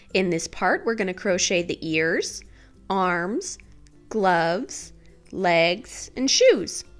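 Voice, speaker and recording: A woman talking at a very slow pace with music in the background. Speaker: crochet instructor. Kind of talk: tutorial voiceover. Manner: calm, instructional.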